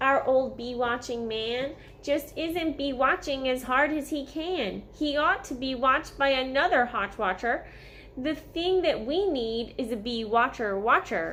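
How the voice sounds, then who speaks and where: In a put-on character voice, a woman speaks high with lively intonation. Clear background noise can be heard. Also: moderate pace. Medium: read story.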